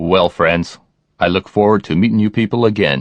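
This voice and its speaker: Putting on a character voice, a man speaks very deep and low at a moderate pace. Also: ordinary pitch variation. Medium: video game. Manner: condescending, gloating.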